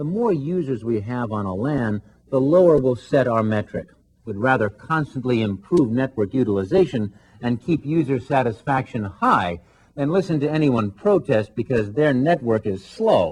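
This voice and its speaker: Lively intonation and a moderate pace, in a plain, everyday voice. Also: man, medium pitch for a man. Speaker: voice actor. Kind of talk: corporate narration. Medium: voice reel.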